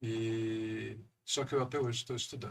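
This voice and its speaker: A man speaks at medium pitch, somewhat breathy. His pace is fairly slow. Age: 60s. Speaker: economist and council president. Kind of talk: podcast interview.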